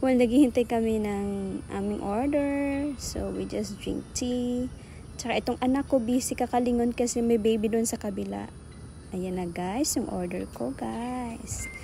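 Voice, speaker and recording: Light background noise can be heard. Over it, a woman speaks at a fairly slow pace. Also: dry sound with no echo. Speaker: family vlogger. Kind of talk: casual vlog chat. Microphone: phone near.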